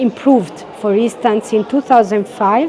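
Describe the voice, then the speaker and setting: Over noticeable background noise, a woman with an Italian accent speaks at a fairly slow pace with ordinary pitch variation. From Italy. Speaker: head of a UN cultural office. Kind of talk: interview. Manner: halting, many fillers.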